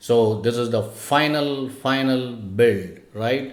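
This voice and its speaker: Medium pitch from a man, ordinary variation in pitch, and audible echo from the room. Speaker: robotics coding instructor. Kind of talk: tutorial. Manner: hesitant, many fillers.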